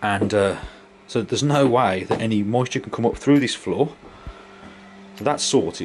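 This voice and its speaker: A man at a fairly quick pace, ordinary pitch variation, and noticeable background noise behind him. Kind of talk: casual tutorial walkthrough. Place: workshop. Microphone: phone near.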